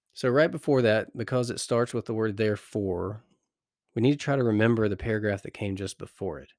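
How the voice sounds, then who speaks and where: In a very clean recording with a silent background and a dry, close sound with no echo, a man with a plain, everyday voice speaks fairly quickly at medium pitch with ordinary pitch variation. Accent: American. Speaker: Bible meditation podcast host. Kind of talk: Bible meditation teaching. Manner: calm and gentle.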